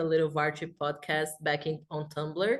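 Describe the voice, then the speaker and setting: A woman is speaking. She has a Portuguese accent. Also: quiet background. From Brazil. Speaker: fanfiction writer. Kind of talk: casual chat.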